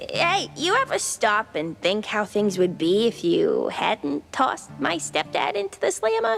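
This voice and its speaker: A put-on character voice, female-sounding and medium in pitch, with hardly any pauses and clear background noise. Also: moderate pace. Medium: video game. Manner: chatty, slangy.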